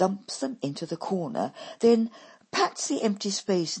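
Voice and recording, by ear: Someone reads aloud in a natural voice, and the pitch varies by an ordinary amount.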